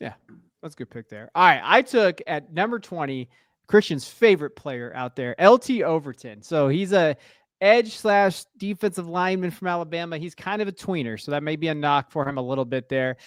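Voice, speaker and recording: A man's high voice at a fairly quick pace, lively in intonation, with a dry, close sound, no echo, and a very clean recording against a silent background. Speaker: football podcast host. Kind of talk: casual chat.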